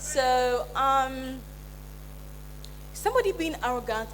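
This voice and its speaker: A woman's voice carries audible room echo, with noticeable background noise behind it. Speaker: motivational speaker, event planner. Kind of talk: conference talk. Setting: stage with audience. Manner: halting.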